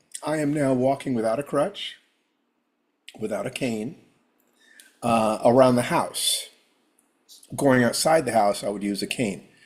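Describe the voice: Raspy and medium in pitch, a man puts on a character voice, talking at a moderate pace with ordinary pitch variation.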